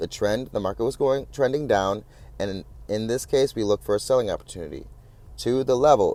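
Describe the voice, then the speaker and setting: This man speaks at a fairly quick pace with a medium pitch. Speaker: trading instructor. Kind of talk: lecture. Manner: fast.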